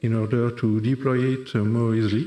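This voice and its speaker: This man talks at a medium pitch and a moderate pace, with a dark, mellow tone. He speaks with a French accent. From France. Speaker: software developer. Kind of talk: conference talk. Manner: halting, many fillers.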